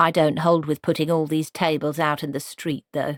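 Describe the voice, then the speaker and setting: A female-sounding put-on character voice speaks with a very deep, low pitch and flat, monotone intonation at a moderate pace. The recording is very clean, with a silent background. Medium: read story. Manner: stern, disapproving.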